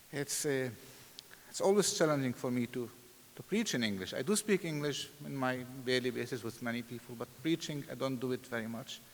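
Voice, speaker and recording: A man with an Arabic accent talks at a fairly quick pace, his medium-pitched voice showing lively intonation. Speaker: pastor and seminary president. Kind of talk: sermon.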